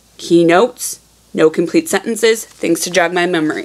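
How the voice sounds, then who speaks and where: Noticeable background noise sits behind the speech. The pace is moderate, and the pitch varies in an ordinary way. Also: woman. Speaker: teacher. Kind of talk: tutorial.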